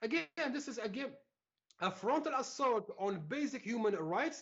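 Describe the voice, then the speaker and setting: Speaking with a French accent, a man keeps a moderate pace. His tone is animated and his intonation lively. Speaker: civil rights activist. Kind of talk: interview.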